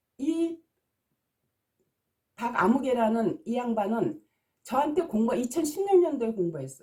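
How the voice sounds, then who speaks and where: A woman's high, dark and mellow voice, fairly slow, with long, frequent pauses and very wide pitch swings. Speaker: naming consultant and teacher. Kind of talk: video lecture. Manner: agitated.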